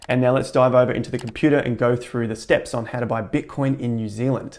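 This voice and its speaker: This voice has an Australian accent. The pace is very fast. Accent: Australian, twangy. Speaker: crypto tutorial youtuber. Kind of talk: tutorial. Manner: jokey, casual.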